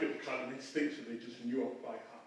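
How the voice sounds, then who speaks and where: Audible room echo surrounds a man talking with a Yorkshire accent. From northern England, Bradford, Yorkshire. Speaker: professor of theology. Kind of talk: lecture.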